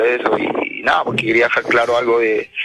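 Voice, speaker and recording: A man talks while noticeable background noise plays underneath. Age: 40s. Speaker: caller, farm worker. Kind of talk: phone-in confession.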